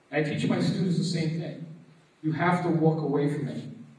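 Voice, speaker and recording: A man with an American accent talks at a fairly quick pace and fairly high pitch, with noticeable background noise. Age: 40s. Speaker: martial arts teacher and anti-bullying speaker. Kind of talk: motivational presentation. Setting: stage with audience.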